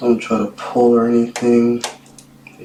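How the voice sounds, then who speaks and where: Against clear background noise, the talking unfolds fairly slowly. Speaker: DIY tech video maker. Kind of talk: tutorial. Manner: casual, halting.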